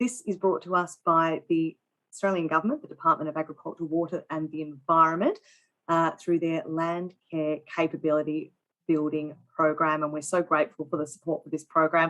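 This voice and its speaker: A woman with an unremarkable speaking voice talks at a fairly quick pace, her fairly low pitch carried on fairly even intonation. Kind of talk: interview host talk.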